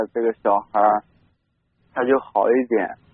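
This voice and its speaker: The man speaks in a monotone, with flat intonation. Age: 20s. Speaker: caller, stone factory worker. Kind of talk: call-in personal story. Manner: halting, many fillers.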